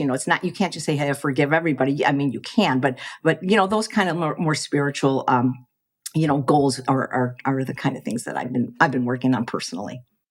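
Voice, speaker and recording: In an American accent, a woman talks very fast with a very deep, low pitch and ordinary pitch variation. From US Midwest, Chicago. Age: 60s. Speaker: plant-based chef and cookbook author. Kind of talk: podcast interview. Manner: halting, with repetitions.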